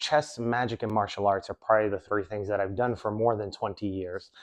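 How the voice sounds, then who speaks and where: A man with an unremarkable speaking voice and an American accent talks at a medium pitch with fairly even intonation, recorded dry and close with no echo against a quiet background. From New York City. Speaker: magician and self-improvement coach. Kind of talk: motivational talk.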